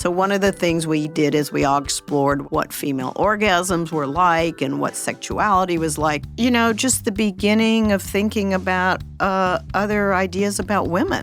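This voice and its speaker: A woman at a moderate pace with hardly any pauses, very even loudness and ordinary pitch variation, with music in the background. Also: fairly low pitch for a woman. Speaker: retired law professor. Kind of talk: documentary interview.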